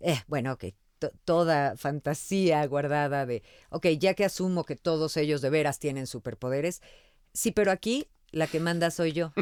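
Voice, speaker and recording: A woman speaks fairly slowly with a very deep, low pitch and ordinary pitch variation. The sound is dry and close with no echo, on a very clean recording with a silent background. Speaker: voice actor. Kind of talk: interview answer.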